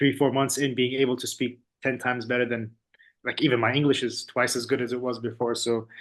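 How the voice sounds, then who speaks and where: A man with an Arabic accent, very fast, in a monotone with flat intonation. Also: medium pitch for a man. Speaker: student, business owner. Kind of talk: testimony.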